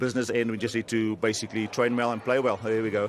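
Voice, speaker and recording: Over noticeable background noise, a man with a South African accent talks at a very fast pace in a medium pitch. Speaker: rugby player. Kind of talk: post-match pitchside interview. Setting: pitchside at a rugby match.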